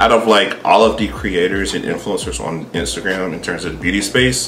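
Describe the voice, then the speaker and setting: Music plays in the background as a man speaks at a fairly quick pace. His pitch sits fairly low. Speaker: beauty creator. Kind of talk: casual vlog commentary. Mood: thoughtful, measured.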